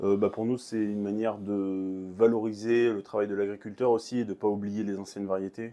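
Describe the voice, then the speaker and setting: Dark and mellow in tone, a man's fairly low voice runs at a fairly quick pace in a flat monotone with hardly any pauses. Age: 30s. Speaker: head baker. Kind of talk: interview. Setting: bakery. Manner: hesitant, many fillers.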